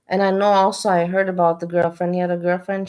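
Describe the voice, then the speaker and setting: Her voice medium in pitch, a woman speaks with flat, monotone intonation. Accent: non-native. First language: not English. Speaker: streamer reacting to videos. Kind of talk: live stream commentary.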